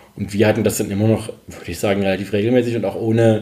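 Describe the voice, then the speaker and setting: The speech moves at a very fast pace with monotone, flat intonation. Noticeable background noise sits behind it. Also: man. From Saxony, Dresden. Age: 40s. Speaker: freelance journalist. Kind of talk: casual interview. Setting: home. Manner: halting.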